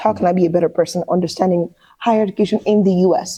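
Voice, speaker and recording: With a Nigerian accent, a woman talks at a very fast pace in a medium pitch, somewhat breathy, with a dark, mellow tone and fairly even intonation. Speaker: career coach. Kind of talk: interview answer.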